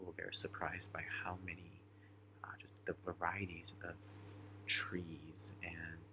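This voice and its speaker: Quiet and very deep in pitch, a man speaks with monotone, flat intonation. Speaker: student keeping a reflection journal. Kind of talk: personal video journal. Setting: at a friend's home at night. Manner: quiet, hushed; hesitant, many fillers.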